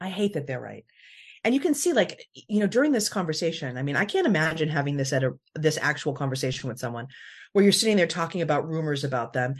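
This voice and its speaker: Against a quiet background, a woman with a very deep, low voice talks very fast, somewhat breathy, with lively intonation. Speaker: podcast host. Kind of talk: casual chat.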